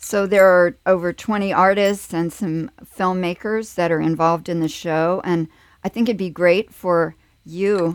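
At a fairly slow pace, a woman talks in an ordinary speaking voice with medium pitch and ordinary pitch variation. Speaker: radio host and curator. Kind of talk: interview. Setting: radio studio.

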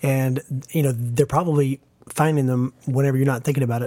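In a dry, close sound with no echo, a man with an American accent speaks at a medium pitch in a dark, mellow tone with monotone, flat intonation. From small-town US. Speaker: podcast co-host. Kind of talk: personal testimony. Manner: halting.

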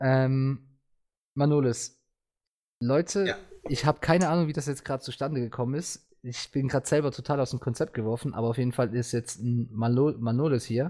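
At a fairly quick pace, a man speaks with a medium pitch and a dark, mellow tone. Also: ordinary pitch variation. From Switzerland. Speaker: podcast host. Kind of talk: casual chat. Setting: online voice chat server.

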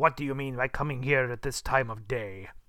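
A gruff, growling put-on character voice moves at a fairly quick pace in a very clean recording with a silent background. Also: man, medium pitch for a man.

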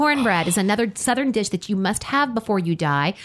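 A woman of medium pitch talks at a moderate pace in an ordinary speaking voice, recorded very cleanly against a silent background. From US South (army family, moved around). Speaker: radio host. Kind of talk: casual chat.

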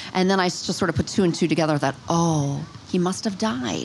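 A woman speaks at a moderate pace in a fairly low pitch, her intonation lively. Noticeable background noise runs under the recording. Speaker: psychic medium. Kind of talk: casual interview conversation. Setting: outdoors in a park.

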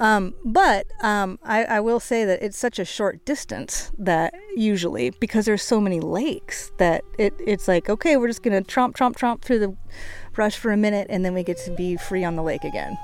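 A woman with an American accent and an unremarkable speaking voice speaks at a moderate pace with lively intonation and a fairly high pitch, in a very clean recording with a silent background. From Washington State, US. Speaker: camper. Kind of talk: casual chat. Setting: outdoors.

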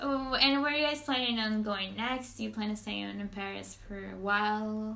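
Over noticeable background noise, a woman speaks at a moderate pace with a Spanish accent. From Venezuela, Maracaibo. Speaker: podcast host. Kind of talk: casual chat. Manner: animated.

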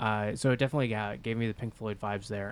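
A man speaks in a plain, everyday voice, pitched fairly low. His intonation stays fairly even. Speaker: podcast host. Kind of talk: casual chat.

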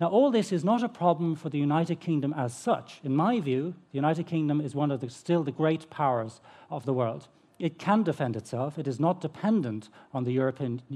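With a dark, mellow tone and a fairly high pitch, a man speaks at a fairly quick pace with lively intonation. The background is quiet. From Ireland. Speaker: history professor. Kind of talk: panel presentation. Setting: festival stage with audience.

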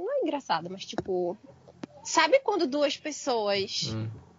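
A woman speaks in a high pitch. Her pitch swings very widely. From Brazil, Recife. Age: 20s. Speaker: podcast guest. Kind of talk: casual chat.

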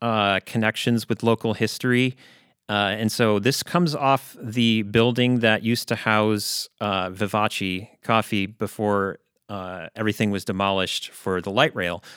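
An unremarkable speaking voice with an American accent at a fairly slow pace, dry and close with no echo, on a very clean recording with a silent background. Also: man. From Chicago. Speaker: historian. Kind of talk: podcast interview.

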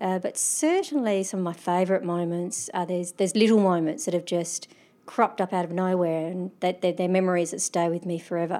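With an Australian accent, a woman speaks at a fairly quick pace, her medium pitch, dark, mellow tone and fairly even intonation. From South Australia. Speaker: mountaineer. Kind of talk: interview. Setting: hotel.

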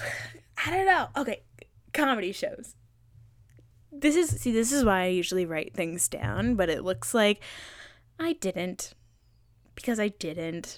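A woman with an American accent speaks at a fairly slow pace, leaving long, frequent pauses. The recording is very clean, with a silent background. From US East Coast. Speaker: podcast host. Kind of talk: casual solo chat. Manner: animated.

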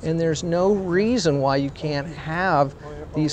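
A man talks in an unremarkable speaking voice with an American accent. His pitch variation is ordinary. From US South. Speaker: sociology professor. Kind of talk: interview. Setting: outdoors, walking city streets.

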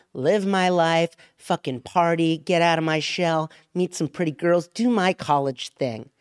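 Here a man with an unremarkable speaking voice and a fairly high pitch talks at a moderate pace. The recording is very clean with a silent background, and the sound is dry and close with no echo. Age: 30s. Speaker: comedian.

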